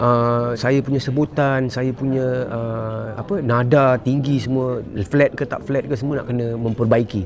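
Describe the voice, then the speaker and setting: A man with a medium pitch talks with fairly even intonation against noticeable background noise. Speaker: singer, talent show contestant. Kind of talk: interview. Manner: halting.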